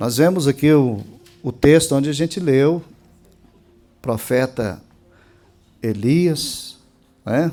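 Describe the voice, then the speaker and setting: At a very slow pace, a man speaks in a dark, mellow tone with ordinary pitch variation. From Brazil, Minas Gerais. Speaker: pastor. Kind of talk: sermon. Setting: church. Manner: emphatic.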